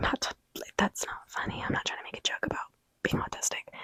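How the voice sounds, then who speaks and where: Whispering from a woman at a moderate pace, with a dry, close sound and no echo. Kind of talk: ASMR whispered ramble to camera. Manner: casual, chatty, rambling.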